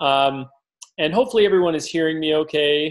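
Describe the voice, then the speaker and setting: Loud and fairly high in pitch, a man speaks at a fairly quick pace. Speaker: forex trading educator. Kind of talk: live webinar. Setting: online webinar, video call. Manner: casual, filler-heavy. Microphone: close to microphone, low volume.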